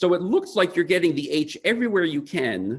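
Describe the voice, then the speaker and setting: Speaking at a moderate pace with an American accent, a man uses vocal fry and very wide pitch swings. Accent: American accent when speaking Tupari. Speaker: linguist presenting research. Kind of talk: academic conference talk.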